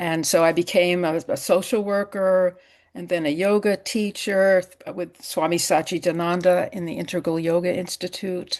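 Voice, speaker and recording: Against a quiet background, a woman with a Massachusetts accent speaks at a moderate pace in a fairly low pitch, her intonation monotone and flat and her loudness swinging widely. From US Northeast, Western Massachusetts. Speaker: psychotherapist, yoga therapist and author. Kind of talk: interview.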